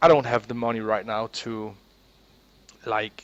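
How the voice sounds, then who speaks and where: A man with a Danish accent and monotone, flat intonation. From Denmark. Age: 20s. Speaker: gaming YouTuber. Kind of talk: casual monologue. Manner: halting, with many repeated words.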